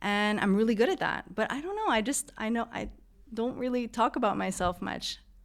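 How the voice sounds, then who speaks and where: A woman's fairly high-pitched voice at a fairly quick pace, with ordinary pitch variation, on a very clean recording with a silent background. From Canada. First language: French. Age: 50s. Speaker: event moderator and keynote speaker. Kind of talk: podcast interview.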